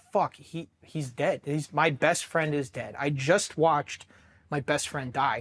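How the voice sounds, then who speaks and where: The speaker has an American accent and a fairly slow pace. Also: man, fairly high pitch for a man, ordinary pitch variation. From Worthington, Ohio (Columbus suburb). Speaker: Marine veteran, explosive ordnance disposal technician. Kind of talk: interview answer. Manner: casual, profane storytelling.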